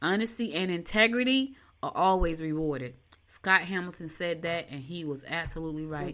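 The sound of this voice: A fairly bright tone comes through at a moderate pace with ordinary pitch variation. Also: woman, fairly low pitch for a woman.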